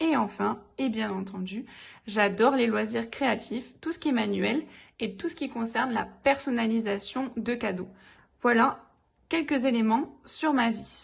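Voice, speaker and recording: A woman with a southern French accent speaks at a fairly slow pace in a fairly high pitch, with vocal fry and ordinary pitch variation over a quiet background. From southern France. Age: 20s. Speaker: DIY YouTuber, teacher. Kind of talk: channel introduction video.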